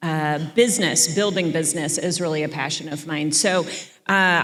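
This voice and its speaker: A woman's voice with audible room echo. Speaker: panel moderator. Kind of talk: panel discussion. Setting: conference stage with audience. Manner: loud.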